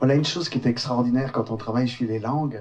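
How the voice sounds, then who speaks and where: A man's somewhat breathy, medium-pitched voice carries ordinary pitch variation. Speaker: storyteller. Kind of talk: storytelling narration.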